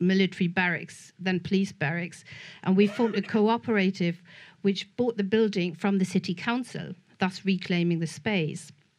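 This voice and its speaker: A moderately paced woman's voice over a quiet background. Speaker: film scholar and festival programmer. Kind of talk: prepared panel talk read aloud. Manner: reading from notes, some halting.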